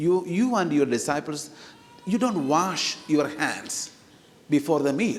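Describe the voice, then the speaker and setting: A man with a non-native accent and a fairly high pitch, at a very slow pace with lively intonation and very even loudness, amid noticeable background noise and audible room echo. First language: not English. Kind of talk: sermon. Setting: church. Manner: hesitant, many fillers; animated, talks with hands.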